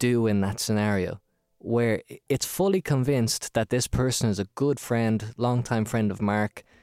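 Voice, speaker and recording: In an Irish accent, the speaker uses lively intonation at a fairly slow pace. The sound is dry and close with no echo, in a very clean recording with a silent background. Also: man. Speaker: podcast host. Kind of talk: casual chat. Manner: animated.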